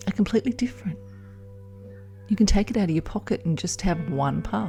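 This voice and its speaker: Music plays in the background as the voice, calm and soothing in tone, moves through very wide pitch swings. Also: woman, fairly low pitch for a woman. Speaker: hypnotherapist and midwife. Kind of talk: hypnosis audio program. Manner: calm, slow, soothing.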